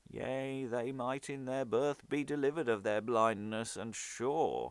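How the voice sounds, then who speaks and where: Using a put-on character voice, a man speaks at a medium pitch in a very clean recording with a silent background. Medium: stage play.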